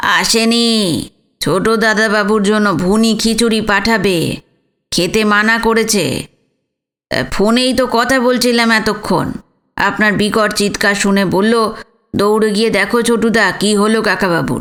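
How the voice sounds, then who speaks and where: A woman uses a put-on character voice pitched fairly high. Her delivery is fairly slow, with fairly even intonation and very even loudness. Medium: read story.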